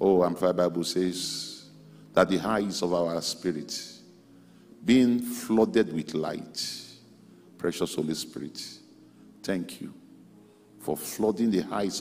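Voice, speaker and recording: Music plays in the background as a man speaks at a very slow pace with long, frequent pauses. His pitch is very deep and low, with ordinary pitch variation. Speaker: pastor leading prayer. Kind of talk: prayer. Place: hall. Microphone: handheld.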